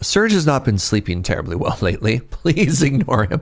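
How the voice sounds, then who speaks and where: A man's put-on character voice, raspy and medium in pitch, at a moderate pace with very wide pitch swings. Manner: announcer-style delivery.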